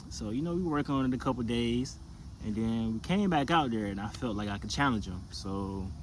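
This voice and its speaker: Amid audible room echo, the speaker has a relaxed tone and lively intonation. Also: man, medium pitch for a man. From US South, South Carolina. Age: 20s. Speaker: basketball player. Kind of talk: casual personal storytelling to camera. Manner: relaxed, casual with many fillers.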